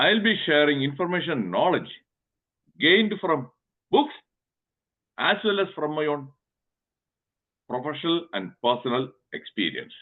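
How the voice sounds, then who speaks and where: Spoken at a moderate pace with a Kerala accent, the voice breaks up often with long pauses. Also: man. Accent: Indian (Kerala) English. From Kerala, India. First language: Telugu. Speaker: physician and motivational speaker. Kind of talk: webinar talk. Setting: online webinar. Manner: emphatic, repetitive.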